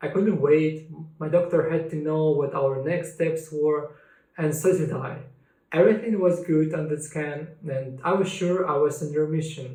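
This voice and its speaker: In a Russian accent, a man talks at a moderate pace with a fairly high pitch and fairly even intonation, and audible room echo surrounds him. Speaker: cancer survivor sharing his story. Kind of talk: personal testimony.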